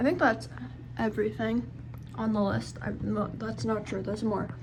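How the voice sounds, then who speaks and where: Speech from a woman, moderately paced, in audible room echo. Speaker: vlogger. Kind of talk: casual vlog.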